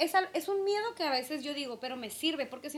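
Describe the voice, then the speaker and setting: A woman with a high pitch talks fairly quickly, her intonation lively. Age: 30s. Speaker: podcast co-host. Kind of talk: casual chat.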